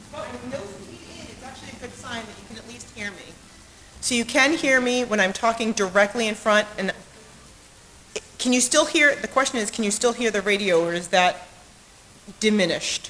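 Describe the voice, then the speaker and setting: Against noticeable background noise, a woman with a fairly high pitch speaks with big swings in loudness and long, frequent pauses. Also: ordinary pitch variation, moderate pace. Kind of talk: mic check and poetry reading.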